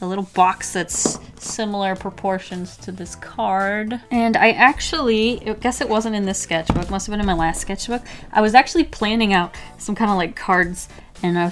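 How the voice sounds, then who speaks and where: Faint music sits in the background while a woman speaks at a moderate pace with ordinary pitch variation. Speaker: artist youtuber. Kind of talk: casual vlog chat. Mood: playful, light.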